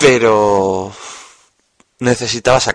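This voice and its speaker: A man's voice with a dry, close sound and no echo. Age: 20s. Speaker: podcaster. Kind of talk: personal monologue.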